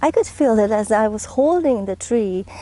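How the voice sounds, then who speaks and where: With a non-native accent, a woman speaks at a fairly high pitch in a dark, mellow tone. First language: not English. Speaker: gardening and body practice vlogger. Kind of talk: casual vlog narration. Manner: conversational, with frequent fillers.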